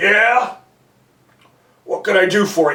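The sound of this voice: Putting on a character voice, a man speaks in a gruff, high-pitched way.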